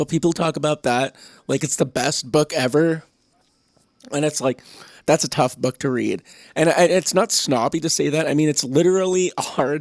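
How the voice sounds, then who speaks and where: A man puts on a raspy character voice with a fairly high pitch, a moderate pace, and long, frequent pauses. The very clean recording has a silent background and a dry, close sound with no echo. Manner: casual, chatty.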